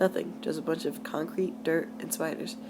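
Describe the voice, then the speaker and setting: A woman's intonation is lively while noticeable background noise carries on behind her. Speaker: amateur creepypasta reader. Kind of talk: read horror story. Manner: stuttering at times.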